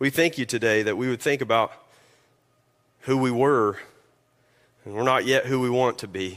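A man talks in a Kentucky accent. He leaves long, frequent pauses. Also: medium pitch for a man, ordinary pitch variation, moderate pace. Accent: Kentucky Southern US. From Kentucky, US. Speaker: lead pastor. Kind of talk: sermon. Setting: church.

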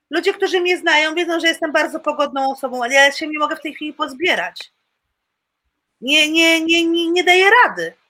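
A woman speaks in an extremely high, bright and sharp voice. Her voice is raised and projected, and her intonation is fairly even. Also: fairly quick pace. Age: 50s. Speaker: flight attendant. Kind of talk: testimony. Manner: halting.

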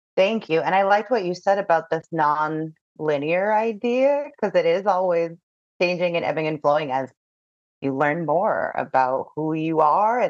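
A woman's plain, everyday voice, fairly low in pitch, with ordinary pitch variation at a moderate pace. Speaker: podcast host. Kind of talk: interview.

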